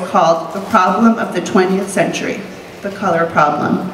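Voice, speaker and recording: Light background noise and audible room echo around a woman's voice of ordinary pitch variation. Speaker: community organizer. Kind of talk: panel moderation. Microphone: handheld.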